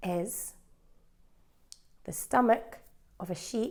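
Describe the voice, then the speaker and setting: The voice has a dark, mellow tone and a Scottish accent. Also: woman. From Scotland. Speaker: English teacher. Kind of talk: language lesson. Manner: slow.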